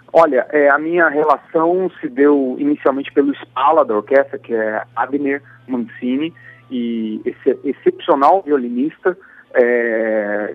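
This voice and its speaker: A man with a fairly high voice and ordinary pitch variation talks at a very slow pace. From Brazil, Campo Grande, Mato Grosso do Sul. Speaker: composer and guitarist. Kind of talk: radio interview. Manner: halting.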